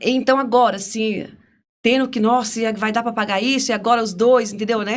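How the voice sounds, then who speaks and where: A woman with an unremarkable speaking voice talks at a fairly quick pace. Her pitch is fairly high and her intonation fairly even. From Brazil, interior of Piauí. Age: 50s. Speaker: podcast guest, career changer. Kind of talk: interview conversation.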